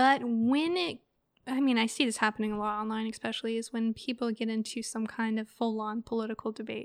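The speaker uses a normal speaking voice at a fairly quick pace. Intonation stays fairly even. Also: woman, fairly high pitch for a woman. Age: 20s. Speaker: local political candidate. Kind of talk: casual chat.

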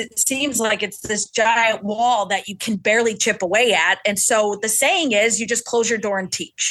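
A woman speaks at a moderate pace in a fairly high pitch. Her tone is bright and sharp. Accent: American. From US Midwest, Chicago. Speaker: teacher and union organizer. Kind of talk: casual interview chat.

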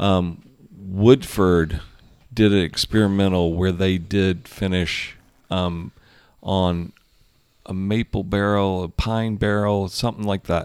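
The speaker, with an American accent, moves at a very slow pace with long, frequent pauses and fairly even intonation in a very clean recording with a silent background. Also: man, very deep, low pitch for a man. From US South, Georgia. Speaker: distiller and distillery founder. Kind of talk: casual chat. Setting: bar.

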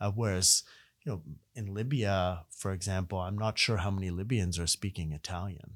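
A man with an Arabic accent speaks at a moderate pace in a very deep, low voice with fairly even intonation. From Ottawa, Canada. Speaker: university professor. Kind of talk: casual interview. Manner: hesitant, filler words.

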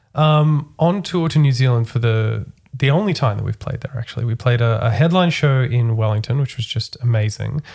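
In an Australian accent, a man speaks at a medium pitch with ordinary pitch variation and a somewhat breathy voice. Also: fairly quick pace. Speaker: podcast host. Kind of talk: casual chat.

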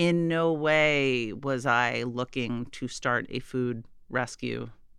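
Against a quiet background, a woman talks in a very deep, low voice with a bright, sharp tone and fairly even intonation. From Massachusetts. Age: 40s. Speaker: nonprofit founder. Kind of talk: interview.

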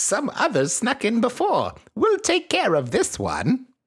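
A put-on character voice, gruff and fairly high in pitch, speaks at a fairly slow pace. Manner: brusque, stern.

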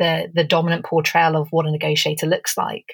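A woman talks with an English accent. She is somewhat breathy and speaks fairly quickly. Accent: English accent, mistaken for South American. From England. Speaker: negotiation expert. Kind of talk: interview, conversational. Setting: remote call.

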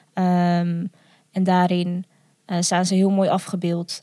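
Heard in a dry, close recording with no echo, a woman speaks at a very slow pace. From Netherlands, village on the Vecht. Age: 20s. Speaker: adoptee and video maker. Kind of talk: casual interview.

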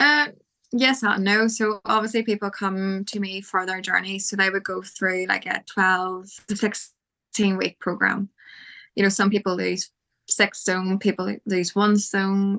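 A woman with an Irish accent, fairly even intonation and a fairly slow pace, dry, close sound with no echo, quiet background. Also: medium pitch for a woman. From Ireland. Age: 20s. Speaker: fitness photographer. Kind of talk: casual interview.

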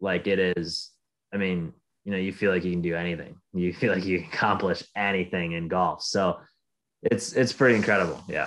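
Against a quiet background, a man with an Upper Midwest accent speaks in a very deep, low pitch with fairly even intonation. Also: moderate pace. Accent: Upper Midwest American. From Michigan. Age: 20s. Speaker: professional golfer. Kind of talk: casual interview.

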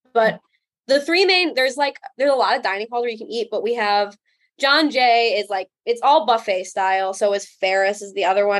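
Here is an unremarkable speaking voice, a woman with an American accent at a fairly high pitch. She talks at a fairly quick pace with lively intonation. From US Midwest, northern Illinois. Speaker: college student. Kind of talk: interview.

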